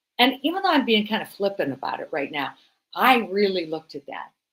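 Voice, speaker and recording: A woman speaks at a moderate pace with a fairly high pitch. Her pitch swings very widely. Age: 60s. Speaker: health coach and speaker. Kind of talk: motivational speech. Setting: stage, livestreamed.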